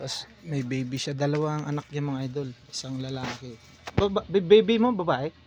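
A man speaks at a moderate pace with a fairly high pitch. His intonation is lively, and his volume rises and falls sharply. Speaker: vlogger. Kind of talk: casual vlog chat. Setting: at someone's house. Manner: halting.

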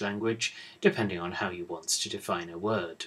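A man with a British accent speaks at a moderate speed. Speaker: university English professor. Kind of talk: lecture. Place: office. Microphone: webcam.

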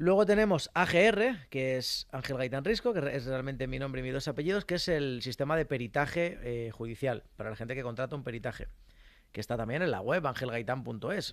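An animated tone and lively intonation at a fairly quick pace, with dry sound, no echo, and a quiet background. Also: man. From Spain, rural village. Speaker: mechanic and social media creator; social media creator. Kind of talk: casual interview. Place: studio. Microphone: studio mic.

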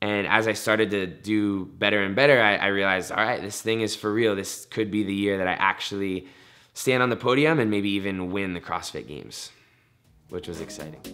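A man at a fairly low pitch and fairly quick pace, bright and sharp in tone, ordinary pitch variation, quiet background. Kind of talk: interview answer. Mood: upbeat, reflective. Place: studio.

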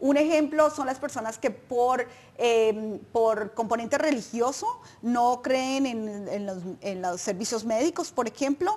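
Speaking at a fairly slow pace, a woman has a high-pitched voice. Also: ordinary pitch variation. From Colombia. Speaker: nonprofit advocacy director; guest. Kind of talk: informational interview. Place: studio. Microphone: lapel.

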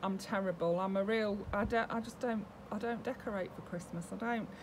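Over light background noise, a woman with a British accent talks with ordinary pitch variation. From UK. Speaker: doll collector YouTuber. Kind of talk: casual vlog talk to camera. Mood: warm, chatty. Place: home room. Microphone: webcam.

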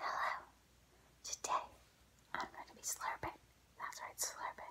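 A woman's whispered speech proceeds at a moderate pace. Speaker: ASMR creator. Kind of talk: ASMR eating video intro. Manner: soft-spoken. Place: home room. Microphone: phone near.

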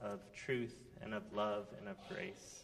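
A man is talking. There is ordinary pitch variation in his voice. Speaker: pastor giving children's message. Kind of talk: sermon. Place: church.

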